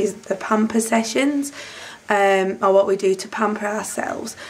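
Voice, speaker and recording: The speech moves at a fairly slow pace, and its pitch shifts in an ordinary way. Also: woman. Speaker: vlogger. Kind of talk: casual vlog chat. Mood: cheerful. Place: home room. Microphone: phone near.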